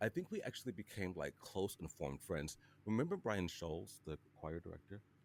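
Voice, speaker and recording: A man with an American accent talks at a fairly quick pace in a very deep, low voice with ordinary pitch variation. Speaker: podcast host. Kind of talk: casual chat. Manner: animated.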